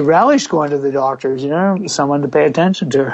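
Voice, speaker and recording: A man speaks at a fairly quick pace, his pitch varying in an ordinary way, with noticeable background noise all around. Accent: American. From US Northeast (Pennsylvania). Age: 60s. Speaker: fitness coach. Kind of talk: interview.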